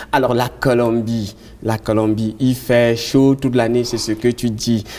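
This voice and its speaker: A man speaks with a Cameroonian accent at a medium pitch. His delivery is fairly slow, with monotone, flat intonation. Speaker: tv host. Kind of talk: interview.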